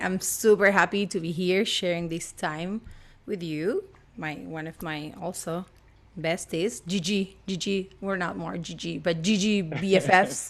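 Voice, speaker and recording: With an Argentine accent, a woman talks at a fairly slow pace with ordinary pitch variation. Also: medium pitch for a woman, big swings in loudness. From Argentina. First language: Spanish. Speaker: actress and voice actress. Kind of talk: casual interview chat. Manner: animated.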